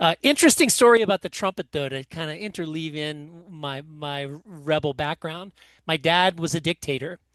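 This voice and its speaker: A man with a plain, everyday voice speaks at a moderate pace, his pitch fairly high with ordinary variation and big swings in loudness. The background is quiet, and the sound is dry and close with no echo. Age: 60s. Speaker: author and musician. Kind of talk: interview storytelling.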